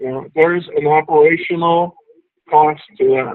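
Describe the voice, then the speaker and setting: This man has a plain, everyday voice, pitched fairly high, with fairly even intonation. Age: 50s. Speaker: executive coach and author. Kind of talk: talk to members. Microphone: audio issues.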